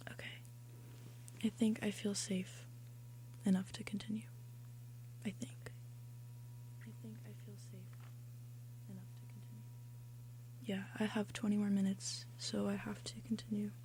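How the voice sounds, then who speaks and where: The voice is soft-spoken at a moderate pace, broken by long, frequent pauses. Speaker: radio host. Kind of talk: solo on-air monologue. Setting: radio studio.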